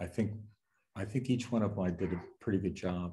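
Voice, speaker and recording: Speaking at a moderate pace with an American accent, a man uses a fairly low pitch with ordinary variation and sounds somewhat breathy. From Western Pennsylvania, US. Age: 70s. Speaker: novelist. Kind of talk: Q&A at book launch. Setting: bookstore event with audience.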